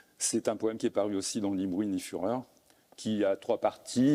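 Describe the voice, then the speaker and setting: A man's medium-pitched voice with a dark, mellow tone on a very clean recording with a silent background. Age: 70s. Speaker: poet and translator. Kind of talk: literary conversation. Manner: hesitant.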